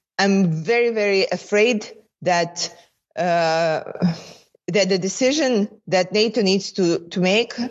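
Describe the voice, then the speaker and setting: A woman with a Ukrainian accent. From Ukraine. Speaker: member of parliament. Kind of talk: interview. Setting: remote call.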